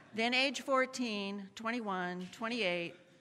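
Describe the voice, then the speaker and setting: A woman's medium-pitched voice with a bright, sharp tone and very wide pitch swings, at a fairly slow pace, on a very clean recording with a silent background. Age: 70s. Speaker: lay worship leader. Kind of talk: church announcements and personal reflection.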